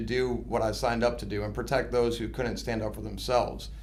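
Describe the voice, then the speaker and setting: Speaking at a fairly quick pace with an American accent, a man is heard with audible room echo. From US Midwest, suburbs of Chicago. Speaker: army recruiter and station commander. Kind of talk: interview.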